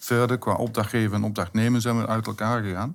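Fairly low in pitch, a man speaks with a monotone, flat intonation. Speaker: municipal contracts manager. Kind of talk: interview.

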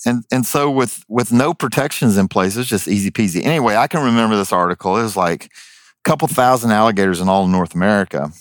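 A man with a fairly low pitch talks at a very fast pace, with lively intonation and very even loudness. The very clean recording has a silent background and a dry, close sound with no echo. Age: 50s. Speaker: wildlife removal specialist and reality TV personality. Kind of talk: casual chat. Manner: animated.

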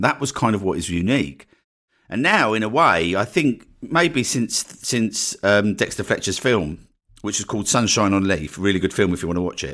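A man with an Essex accent speaks at a moderate pace in a fairly low pitch, his tone bright and sharp, on a very clean recording with a silent background. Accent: Essex English, slight vowel dropping. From Essex, England. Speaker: podcast host and online marketing coach. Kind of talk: solo podcast monologue, casual and promotional. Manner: casual, conversational, fills with 'right?'.

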